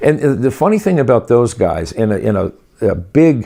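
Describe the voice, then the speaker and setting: A man's dark, mellow tone with lively intonation over a quiet background. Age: 60s. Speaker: rehearsal complex owner. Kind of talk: interview.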